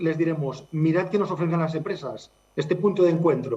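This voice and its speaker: A man talks in a Catalan accent, his pitch fairly high. He keeps a moderate pace and ordinary pitch variation. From Catalonia. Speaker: charity director. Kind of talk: interview.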